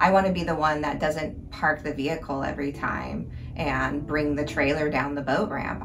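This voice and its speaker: A woman talks at a moderate pace, her voice carrying audible room echo over noticeable background noise. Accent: American. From Alaska, Anchorage. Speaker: fishing conservation nonprofit director. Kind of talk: interview answers.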